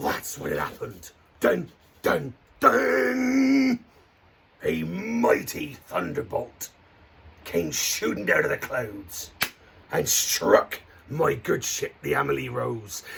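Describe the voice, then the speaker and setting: In a put-on character voice, a man speaks raspily at a very slow pace with long, frequent pauses. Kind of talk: children's campfire storytelling. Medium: solo performance. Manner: hearty, theatrical, playful.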